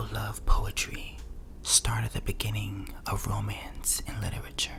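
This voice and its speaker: A man whispers, soft-spoken, at a fairly slow pace. Music plays in the background. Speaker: ASMR creator. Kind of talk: ASMR story reading, history narration. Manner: whispered, soft-spoken.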